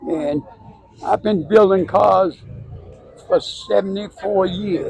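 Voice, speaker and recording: A man talking at a very slow pace over noticeable background noise. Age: 80s+. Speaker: car club organizer and mechanic. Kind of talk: casual interview.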